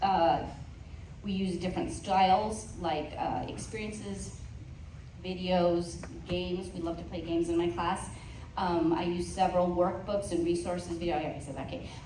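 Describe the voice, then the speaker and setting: Speaking with a Spanish accent, a woman with a fairly low pitch keeps a moderate pace and fairly even intonation. Noticeable background noise and audible room echo run through the recording. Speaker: Spanish teacher. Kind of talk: presentation to parents.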